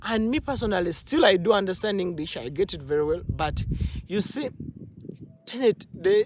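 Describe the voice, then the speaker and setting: A man talks at a moderate pace and a high pitch, with lively intonation. Long, frequent pauses break up his speech over noticeable background noise. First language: not English. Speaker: movie reviewer, vlogger. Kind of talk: casual monologue movie review. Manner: halting, many fillers and restarts.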